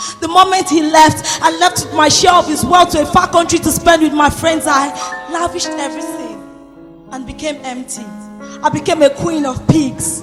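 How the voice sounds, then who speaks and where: Against background music, a woman speaks at a high pitch and moderate pace with fairly even intonation. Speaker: spoken word poet. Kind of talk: spoken word poetry performance. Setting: live event.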